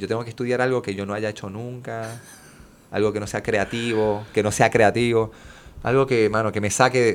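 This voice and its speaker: A man with a fairly low-pitched voice. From Puerto Rico. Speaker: children's musician. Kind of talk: casual chat.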